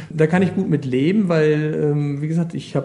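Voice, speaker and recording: The man talks at a moderate pace and with ordinary pitch variation, noticeable background noise running underneath. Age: 50s. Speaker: water police officer. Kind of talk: interview.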